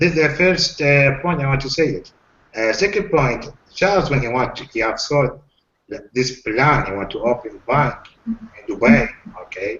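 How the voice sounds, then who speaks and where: With a non-native accent, a man with a fairly high pitch speaks at a moderate pace with lively intonation and long, frequent pauses. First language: not English. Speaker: webinar participant asking questions. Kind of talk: live Q&A webinar. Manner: halting, with many fillers.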